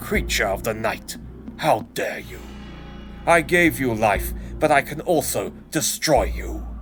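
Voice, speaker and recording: At a fairly slow pace, someone performs a put-on character voice over clear background noise. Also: man. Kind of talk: comic dub narration. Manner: angry, commanding.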